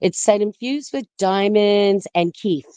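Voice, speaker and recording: A woman talks at a fairly slow pace. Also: dry, close sound with no echo. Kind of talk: casual chat. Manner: lying down.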